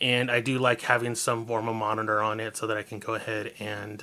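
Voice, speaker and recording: In a very clean recording with a silent background, a man speaks in a bright, sharp tone. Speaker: vlogger. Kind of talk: casual vlog monologue. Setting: seated at desk, camera on tripod. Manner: rambling, jumps between topics.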